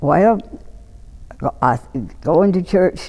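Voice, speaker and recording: A woman with a Mississippi accent. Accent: Southern US, Mississippi. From Lawrence County, Mississippi. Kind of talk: oral history interview answer.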